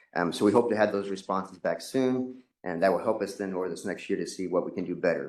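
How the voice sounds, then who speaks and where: This man's voice sits fairly low. He talks at a very fast pace. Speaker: state transportation staff presenter. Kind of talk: presentation to commission.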